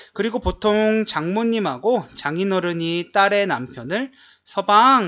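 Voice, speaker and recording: A man with a high pitch at a fairly slow pace. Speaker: Korean language teacher, podcast co-host. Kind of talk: casual chat.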